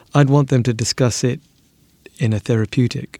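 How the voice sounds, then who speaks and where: Speaking at a fairly quick pace with a slight South African accent, a man has a medium pitch, a dark, mellow tone and fairly even intonation. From South Africa, Cape Town. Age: 50s. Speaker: business owner recounting a ghost experience. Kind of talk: personal testimony interview. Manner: quiet, measured.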